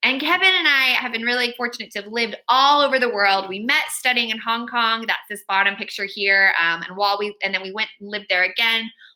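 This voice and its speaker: A bright, sharp, fairly high-pitched woman's voice in an American accent, with lively intonation and a fairly quick pace. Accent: American, noticeable to UK audience. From California. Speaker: children's author. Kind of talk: author talk to school pupils.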